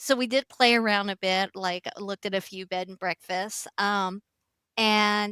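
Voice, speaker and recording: A woman with an American accent speaks at a moderate pace and medium pitch, her tone bright and sharp. Her intonation is fairly even, and the recording is very clean with a silent background. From United States. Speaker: motel and chalet owner, former accountant. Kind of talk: interview conversation.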